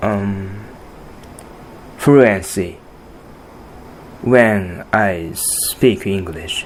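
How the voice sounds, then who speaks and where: With a Japanese accent, a man talks at a very slow pace while noticeable background noise runs underneath. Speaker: podcast host and artist. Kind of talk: solo podcast monologue. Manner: halting, many fillers and restarts.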